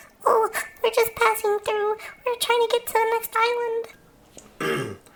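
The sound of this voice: The voice is a put-on character voice at an extremely high pitch. It moves at a fairly slow pace.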